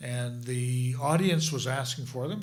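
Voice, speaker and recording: Audible room echo carries a man's somewhat breathy, fairly high-pitched voice. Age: 60s. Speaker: folk club organizer. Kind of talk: live panel interview. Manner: halting, repetitive.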